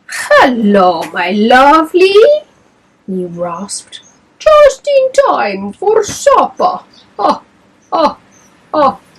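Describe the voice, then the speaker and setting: A woman puts on a character voice at a high pitch. She speaks very slowly, with long, frequent pauses. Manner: sinister, gleeful.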